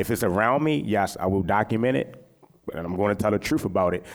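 A man's fairly low voice with an American accent at a moderate pace, an ordinary speaking voice. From West Baltimore, Maryland, US. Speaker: photographer. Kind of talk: panel discussion.

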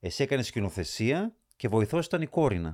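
A man's medium-pitched voice carries vocal fry and very wide pitch swings. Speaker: podcast host. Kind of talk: interview.

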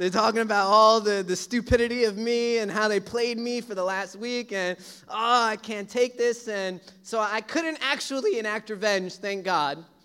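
A man with a high pitch uses a raised, projected voice. His tone is bright and sharp, with ordinary pitch variation. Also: moderate pace. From US Northeast (Brooklyn, New York). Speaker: pastor. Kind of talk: sermon.

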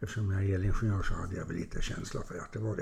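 A man talks in a somewhat breathy voice that sits at a fairly low pitch. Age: 70s. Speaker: retired business executive and mentor. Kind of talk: interview.

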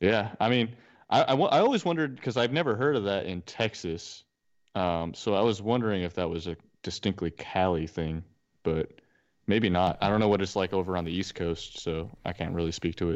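With a quiet background, a man with a normal speaking voice talks at a fairly quick pace and fairly low pitch, using ordinary pitch variation. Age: 20s. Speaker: podcast co-host. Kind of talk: casual chat.

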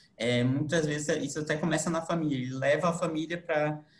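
Recorded with audible room echo, a man speaks fairly quickly at a fairly high pitch with ordinary pitch variation. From Manaus, Brazil. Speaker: lawyer and guest interviewer. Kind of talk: interview. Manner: halting.

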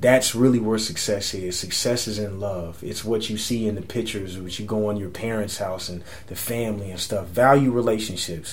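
A man's fairly low voice with a San Antonio accent, fairly even intonation, and a moderate pace. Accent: Texan, San Antonio. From San Antonio, Texas. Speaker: musician. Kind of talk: casual interview chat.

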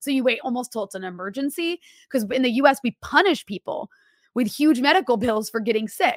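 Recorded very cleanly with a silent background and a dry, close sound with no echo, the voice speaks at a fairly quick pace with lively intonation and an American accent. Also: woman, high pitch for a woman. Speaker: journalist. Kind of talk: interview.

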